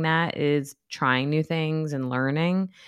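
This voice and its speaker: This woman has a normal speaking voice, pitched fairly low, moving at a fairly slow pace with fairly even intonation on a very clean recording with a silent background. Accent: American. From New York, US. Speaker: therapist, author and professor.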